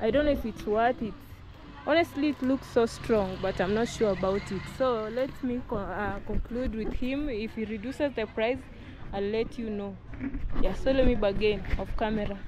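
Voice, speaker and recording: With clear music in the background and a dry, echo-free sound, a woman speaks at a moderate pace in a fairly high pitch with ordinary pitch variation. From Kenya. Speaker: vlogger. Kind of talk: casual vlog narration. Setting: outdoors at rural home. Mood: unsure, weighing a purchase. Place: street. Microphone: phone near.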